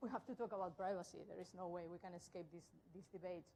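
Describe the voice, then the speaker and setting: A woman talks at a very fast pace with a strong Spanish accent. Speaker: tech conference speaker. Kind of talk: tech talk.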